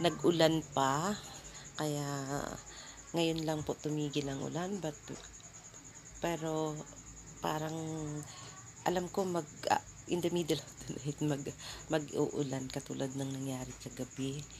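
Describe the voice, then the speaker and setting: With long, frequent pauses, a woman speaks slowly in a very deep, low voice and fairly even intonation. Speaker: vlogger. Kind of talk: casual vlog talk. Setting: lying in her room. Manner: halting.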